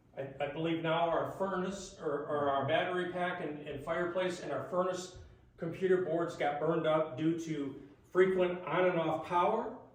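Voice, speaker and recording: A man with a high voice speaks at a moderate pace with fairly even intonation, amid audible room echo and noticeable background noise. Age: 60s. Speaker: resident speaking at public meeting. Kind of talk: public comment at township board meeting. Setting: township board meeting.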